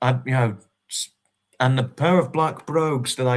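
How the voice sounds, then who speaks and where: A man with a southern English accent speaks at a medium pitch and a moderate pace. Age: 20s. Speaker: livestreamer. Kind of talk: casual chat. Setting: livestream. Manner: halting.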